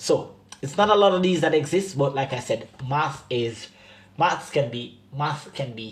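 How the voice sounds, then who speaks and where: At a fairly slow pace, a man with a fairly high, somewhat breathy voice sounds animated, using lively intonation and big swings in loudness. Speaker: math teacher. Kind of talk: tutorial.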